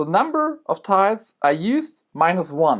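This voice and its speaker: The speaker has a German accent. The recording is very clean, with a silent background. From Germany. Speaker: board game reviewer. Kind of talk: tutorial. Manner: halting.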